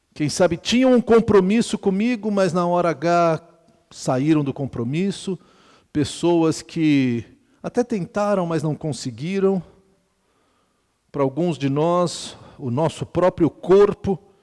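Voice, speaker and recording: On a very clean recording with a silent background and a dry, close sound with no echo, a man with a high pitch and lively intonation speaks at a very slow pace with long, frequent pauses. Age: 60s. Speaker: pastor. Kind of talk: sermon. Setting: retreat with audience. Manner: conversational, humorous asides.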